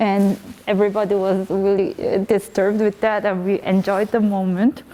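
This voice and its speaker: A woman speaks at a medium pitch with a Korean accent. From South Korea. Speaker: artist. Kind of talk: interview. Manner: halting.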